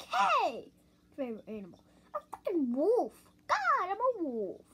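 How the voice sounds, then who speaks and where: The cartoonish character voice moves at a moderate pace. Its pitch swings very widely. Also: man, extremely high pitch for a man. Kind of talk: puppet interview answers. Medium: puppet. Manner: loud, excitable.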